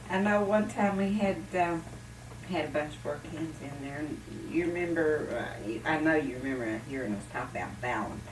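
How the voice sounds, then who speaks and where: Spoken at a moderate pace in an Appalachian accent, the voice swings very widely in pitch over noticeable background noise. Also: woman, very deep, low pitch for a woman. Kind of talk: oral history storytelling.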